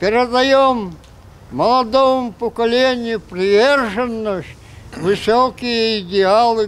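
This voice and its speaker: Over light background noise, a man speaks at a very slow pace with a high pitch. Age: 90s. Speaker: war veteran. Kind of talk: speech to schoolchildren. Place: street.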